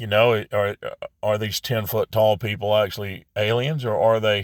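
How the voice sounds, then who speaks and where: A man talks at a moderate pace in a fairly low voice with fairly even intonation, on a very clean recording with a silent background. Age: 60s. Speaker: religious vlogger. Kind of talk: casual monologue. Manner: halting.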